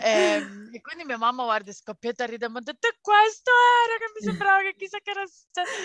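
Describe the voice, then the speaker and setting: A woman speaks at a very fast pace in a high pitch with a bright, sharp tone. Her voice makes very wide pitch swings and big swings in loudness, the sound dry and close with no echo. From Calabria, southern Italy. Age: 30s. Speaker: podcast co-host, mother. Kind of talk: casual interview.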